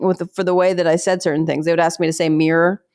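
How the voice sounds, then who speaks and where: In a slight Pittsburgh accent, a woman talks at a very fast pace with a fairly low pitch and an animated tone. The sound is dry and close, with no echo. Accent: slight Pittsburgh accent, reduced by lessons. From Pittsburgh, US. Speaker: stand-up comedian and military spouse. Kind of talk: podcast interview.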